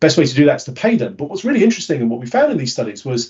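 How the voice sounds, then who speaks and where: A man's somewhat breathy, fairly high-pitched voice with very wide pitch swings. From Britain. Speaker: behavioural science speaker. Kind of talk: webinar talk. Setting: webinar.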